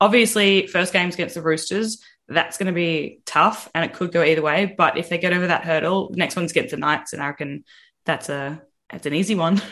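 Over a quiet background, a woman with an Australian accent talks at a fairly quick pace and fairly low pitch, with ordinary pitch variation. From Victoria, Australia. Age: 20s. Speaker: podcast panelist. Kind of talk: casual chat.

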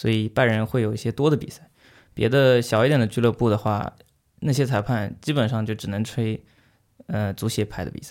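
Using an unremarkable speaking voice, a man speaks at a fairly quick pace and medium pitch with ordinary pitch variation. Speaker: student and amateur football referee. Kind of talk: interview conversation.

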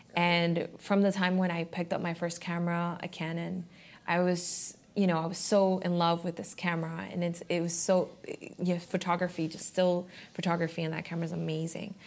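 A woman speaks at a fairly quick pace in a flat, monotone delivery, her pitch fairly low, on a very clean recording with a silent background. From Miami. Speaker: photographer and graphic designer. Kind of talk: interview conversation. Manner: hesitant, many fillers.

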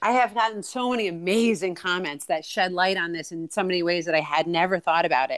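A woman with an ordinary speaking voice, fairly low pitch and ordinary pitch variation, in a very clean recording with a silent background. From New York City area. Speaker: nurse. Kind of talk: interview.

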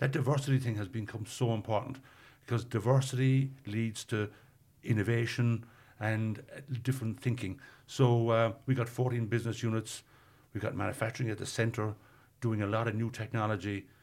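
A man with a Cork accent speaks at a medium pitch in a somewhat breathy voice. His intonation is monotone and flat, on a very clean recording with a silent background. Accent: Cork Irish. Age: 60s. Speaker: tech company executive. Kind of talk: interview.

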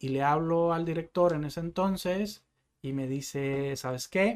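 A man's pitch varies in an ordinary way. Nothing is heard behind him in this very clean recording. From Mexico, northwest (Sonora/Baja California). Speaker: salesman. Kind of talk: interview.

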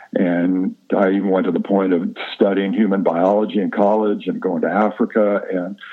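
This man talks at a moderate pace and hardly pauses at all. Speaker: guest, movement and wellness expert. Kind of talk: casual interview conversation.

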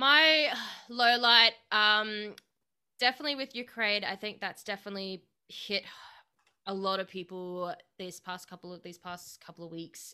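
A woman with an Australian accent speaks at a medium pitch and moderate pace, with a bright, sharp tone and lively intonation. Her loudness swings widely, long pauses come often, and the recording is very clean with a silent background. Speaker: podcast host. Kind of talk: interview.

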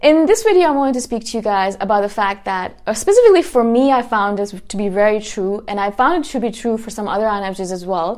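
Her pace is fairly quick. The woman's intonation stays lively. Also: fairly high pitch for a woman. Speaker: self-help podcaster. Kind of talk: solo monologue. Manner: fast; intense.

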